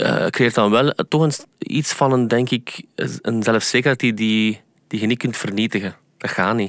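This voice moves at a moderate pace with fairly even intonation. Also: man, medium pitch for a man. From Flanders, Belgium. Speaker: singer and pianist. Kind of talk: casual interview. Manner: halting, many fillers and repetitions.

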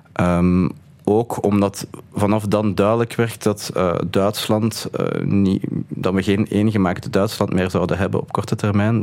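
Monotone and flat, a man speaks at a fairly slow pace in a fairly low pitch. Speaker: author, political scientist and economist. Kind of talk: interview. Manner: halting.

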